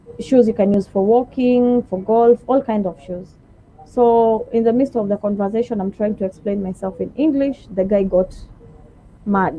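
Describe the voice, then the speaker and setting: A woman with a Kenyan accent speaks at a fairly high pitch with ordinary pitch variation. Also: moderate pace. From Kenya, Kilifi (Giriama). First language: Giriama. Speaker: shop salesperson. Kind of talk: interview.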